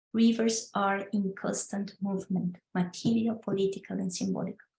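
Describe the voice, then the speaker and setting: Monotone, flat intonation marks a woman's speech. Her tone is dark and mellow, and somewhat breathy. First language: Spanish. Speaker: legal scholar presenter. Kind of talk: online talk presentation. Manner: halting.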